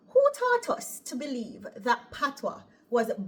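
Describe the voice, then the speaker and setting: This is a woman speaking. She has a Jamaican accent. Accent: Jamaican, mistaken for Irish. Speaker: operating room nurse and vlogger. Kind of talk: casual vlog monologue. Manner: lilting intonation; animated.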